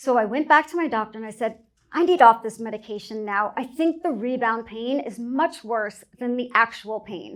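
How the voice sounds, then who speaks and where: The recording is very clean, with a silent background. A woman speaks loudly at a moderate pace in a high pitch. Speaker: speaker on healthcare technology, entrepreneur. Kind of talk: conference talk.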